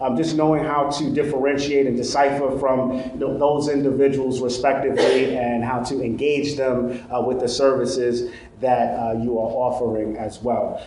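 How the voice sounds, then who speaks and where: Someone with a Brooklyn accent talks at a moderate pace with hardly any pauses. The recording has noticeable background noise and audible room echo. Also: man. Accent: Brooklyn New York. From Brooklyn, New York. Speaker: trainer. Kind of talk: lecture.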